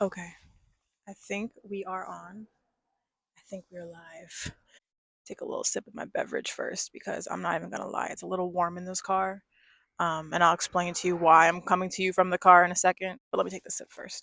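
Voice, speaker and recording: An American accent colors this woman's speech. Her loudness swings widely, and the sound is dry and close with no echo. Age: 20s. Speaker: vlogger. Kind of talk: casual vlog monologue. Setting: in a car.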